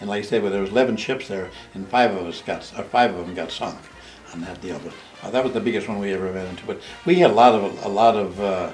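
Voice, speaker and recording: With an American accent, a man speaks very fast at a fairly low pitch, with fairly even intonation and big swings in loudness. Noticeable background noise and audible room echo are present. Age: 80s+. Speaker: war veteran. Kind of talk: oral history interview. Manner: halting.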